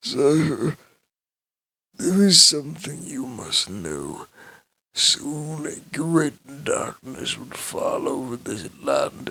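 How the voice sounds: Using a put-on character voice at a very slow pace, the speaker has big pitch swings, a bright, sharp tone, a slightly husky edge and vocal fry. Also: man, fairly high pitch for a man.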